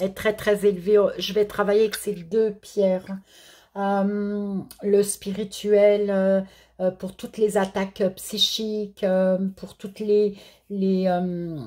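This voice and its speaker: A woman at a medium pitch, very slow, monotone and flat, dark and mellow in tone. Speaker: therapist and card reader. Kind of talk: tarot-style spiritual guidance. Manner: halting, stammering.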